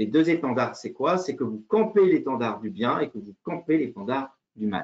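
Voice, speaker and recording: Very wide pitch swings run through a man's fairly slow delivery. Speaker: leadership consultant and former army officer. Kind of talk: online lecture. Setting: video call. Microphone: video call.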